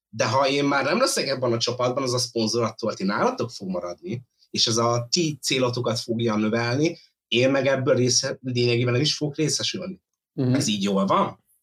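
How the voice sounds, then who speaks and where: A man speaks in a plain, everyday voice at medium pitch. He moves at a fairly quick pace, with ordinary pitch variation. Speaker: viewer joining remotely. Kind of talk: casual debate. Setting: remote connection.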